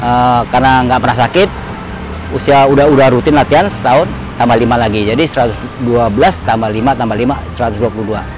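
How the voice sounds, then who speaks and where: This man talks at a very fast pace with a medium pitch. Noticeable background noise runs under him. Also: ordinary pitch variation. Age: 60s. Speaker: amateur runner. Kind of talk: interview.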